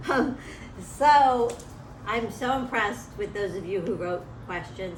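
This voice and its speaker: Noticeable background noise surrounds a woman speaking at a fairly slow pace. Her intonation is lively. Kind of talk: interviewer questions for school kids.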